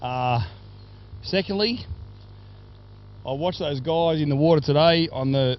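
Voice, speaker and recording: Speech with an Australian accent comes at a moderate pace with ordinary pitch variation. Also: man. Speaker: race sponsor and commentator. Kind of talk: speech at prize giving. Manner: loud; repetitive, stumbling.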